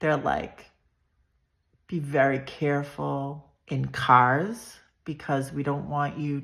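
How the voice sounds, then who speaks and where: A woman with an American accent speaks loudly at a very deep, low pitch. She talks very slowly, and the recording is very clean with a silent background. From Massachusetts, south of Boston. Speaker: vlogger sharing personal health story. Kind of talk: personal storytelling monologue.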